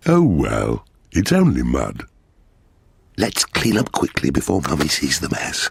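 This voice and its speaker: In a cartoonish character voice, the speaker moves at a moderate pace with long, frequent pauses. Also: man, very deep, low pitch for a man. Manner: jovial.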